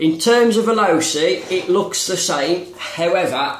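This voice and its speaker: A man speaks with noticeable background noise. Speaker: RC hobbyist. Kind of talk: casual product review to camera.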